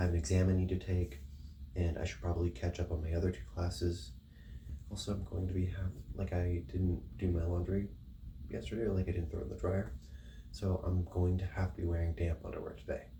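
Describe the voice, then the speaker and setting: A dark, mellow tone with vocal fry at a fairly quick pace. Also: man, very deep, low pitch for a man, ordinary pitch variation. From rural area. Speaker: vlogger. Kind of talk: casual vlog monologue.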